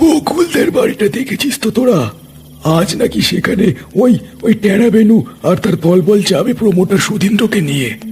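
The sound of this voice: A man puts on a cartoonish character voice, high-pitched with very wide pitch swings. He keeps a moderate pace over clear background noise.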